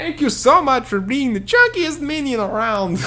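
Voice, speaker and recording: In a put-on character voice, someone speaks at a high pitch and a moderate pace over light background noise. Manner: theatrical, cartoonish.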